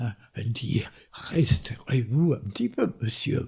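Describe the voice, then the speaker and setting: This man talks at a very slow pace, with a somewhat breathy voice and a dark, mellow tone. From northern France. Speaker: war veteran. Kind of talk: testimony.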